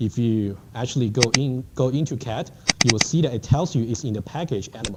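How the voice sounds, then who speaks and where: A man speaks at medium pitch. There is noticeable background noise. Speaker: university lecturer. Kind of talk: lecture. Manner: fast.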